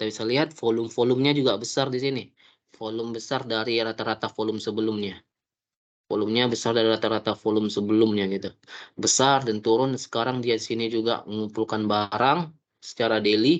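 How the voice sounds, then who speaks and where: At a very fast pace, a man speaks in a medium pitch. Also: fairly even intonation. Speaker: stock market educator. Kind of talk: tutorial. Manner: halting.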